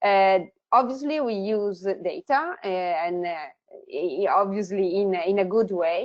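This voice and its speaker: A woman with an Italian accent at a fairly slow pace. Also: medium pitch for a woman, ordinary pitch variation. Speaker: tech company founder. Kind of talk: webinar presentation.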